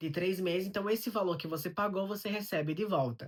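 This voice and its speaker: In a very clean recording with a silent background, a man speaks at a very fast pace with ordinary pitch variation. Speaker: immigrant vlogger. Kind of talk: vlog monologue. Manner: conversational.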